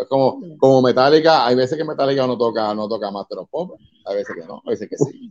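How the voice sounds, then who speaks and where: Speech comes very fast in a Puerto Rican accent, with ordinary pitch variation, big swings in loudness and a dry, close sound with no echo. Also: man, medium pitch for a man. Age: 50s. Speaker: metal band vocalist. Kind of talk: casual interview chat. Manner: animated.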